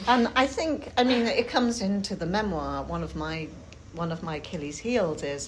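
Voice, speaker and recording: A woman's medium-pitched voice with a Yorkshire accent, very wide pitch swings, a moderate pace and audible room echo. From Yorkshire, England. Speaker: writer giving a talk. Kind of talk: talk with group discussion. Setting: talk to a group in Cambridge. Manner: hesitant, with ums.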